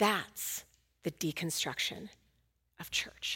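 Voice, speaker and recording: A woman whispers in an American accent. Her pace is very slow. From Oakland, California. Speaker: guest preacher. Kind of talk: sermon.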